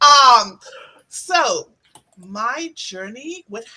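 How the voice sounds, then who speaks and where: An animated woman's voice in a Trinidadian accent. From Trinidad and Tobago. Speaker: sales account manager. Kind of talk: virtual event welcome speech.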